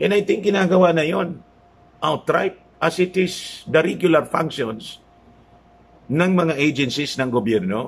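A man speaks at a fairly slow pace with a fairly high pitch. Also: lively intonation. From Philippines. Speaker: political vlogger. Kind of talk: news commentary. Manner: casual, halting with fillers. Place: home room. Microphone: phone near.

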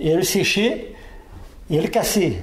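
A man speaks at a fairly slow pace with lively intonation. Noticeable background noise is present. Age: 60s. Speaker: retired miner. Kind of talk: interview testimony. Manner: halting, with repetitions.

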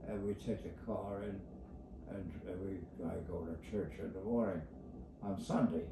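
A man with a fairly low pitch speaks fairly slowly amid noticeable background noise and audible room echo. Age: 80s+. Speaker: elderly man talking about his routine. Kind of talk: casual rambling talk. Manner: rambling, repetitive. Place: home room. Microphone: phone near.

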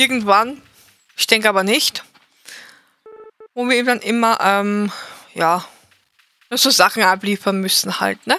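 At a fairly slow pace with long, frequent pauses, a woman speaks at a fairly high pitch with ordinary pitch variation. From Austria. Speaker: video game streamer. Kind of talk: live gameplay commentary. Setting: live stream.

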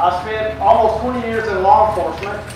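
Strong room echo and noticeable background noise surround a voice moving at a moderate pace. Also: man. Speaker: conference presenter. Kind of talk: lecture. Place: tent. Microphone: camera far.

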